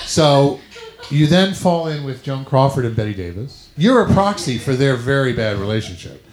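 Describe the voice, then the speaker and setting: Against noticeable background noise, a man with a fairly high voice speaks at a moderate pace with lively intonation. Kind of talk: live comedy show banter.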